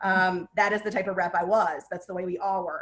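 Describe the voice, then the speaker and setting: Medium pitch marks this woman's voice. She talks at a very fast pace. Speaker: print business executive, webinar guest speaker. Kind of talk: webinar panel talk. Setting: online webinar. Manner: animated.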